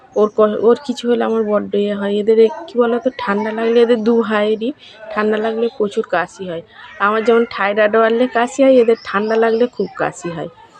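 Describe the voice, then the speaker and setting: Noticeable background noise sits under a woman's voice. She has a fairly high pitch and fairly even intonation. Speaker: vlogger and homemaker. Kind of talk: casual vlog narration. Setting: at home and in village outdoors.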